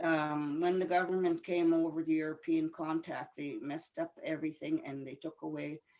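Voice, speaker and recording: At a moderate pace, a woman speaks at a fairly low pitch with a dark, mellow tone and monotone, flat intonation. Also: big swings in loudness. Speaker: elder. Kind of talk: teaching talk.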